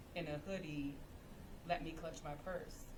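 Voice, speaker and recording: With a slight Baltimore accent, a woman speaks at fairly low pitch amid audible room echo and noticeable background noise. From Baltimore, Maryland, US. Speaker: educator. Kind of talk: panel discussion.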